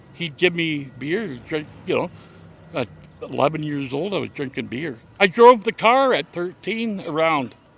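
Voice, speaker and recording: A man speaks in an ordinary speaking voice with a Canadian accent, his pitch fairly high. His pace is fairly slow and his intonation lively. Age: 60s. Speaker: cancer patient. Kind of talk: street interview.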